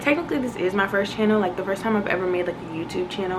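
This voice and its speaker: Echo from the room and clear background noise accompany a woman's voice. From Virginia, US East Coast (born in Boston). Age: 20s. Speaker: YouTuber, lifestyle vlogger. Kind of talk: casual get-to-know-me vlog. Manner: animated, energetic.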